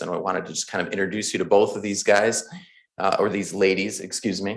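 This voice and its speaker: A man speaks with a very deep, low pitch. His intonation is monotone and flat. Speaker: county clerk. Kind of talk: public meeting announcement. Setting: county board meeting at podium.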